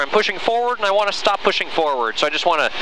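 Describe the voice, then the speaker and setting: A man's raised, projected voice carries lively intonation. The sound is dry with no echo, though noticeable background noise is present. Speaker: flight instructor pilot. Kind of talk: tutorial. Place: plane. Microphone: headset.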